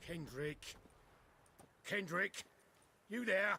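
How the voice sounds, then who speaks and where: A raspy, put-on character voice is raised and projected. The sound is dry and close, with no echo. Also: man, high pitch for a man. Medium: video game. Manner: stammering, nervous.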